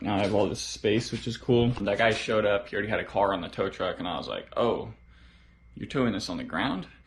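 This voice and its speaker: A man with a medium pitch speaks at a very fast pace. His voice is somewhat breathy, with fairly even intonation. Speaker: car hobbyist vlogger. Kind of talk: casual vlog narration. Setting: home garage. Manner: whispering.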